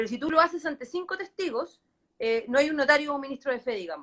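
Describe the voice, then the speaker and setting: A woman talks at a very fast pace in a high voice. Her intonation is lively. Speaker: lawyer. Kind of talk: legal explainer in live online talk. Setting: live online stream.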